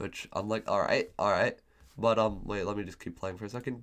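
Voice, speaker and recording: A man with vocal fry speaks at a very fast pace. The recording is very clean, with a silent background. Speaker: gaming commentator. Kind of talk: gameplay commentary. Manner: hesitant with fillers.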